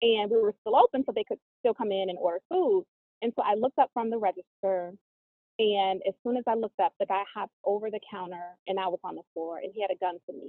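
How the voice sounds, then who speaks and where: Talking very fast in an American accent, a woman at medium pitch shows ordinary pitch variation and big swings in loudness. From US South, New Orleans then Atlanta. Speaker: author and reality TV personality. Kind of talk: podcast interview.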